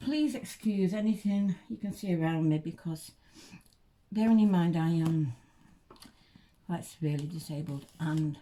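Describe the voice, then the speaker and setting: A woman speaks at a moderate pace with long, frequent pauses. Her fairly low voice is somewhat breathy. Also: ordinary pitch variation. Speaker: reborn doll collector vlogger. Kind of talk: casual unboxing vlog. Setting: bedroom at home. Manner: halting, many fillers.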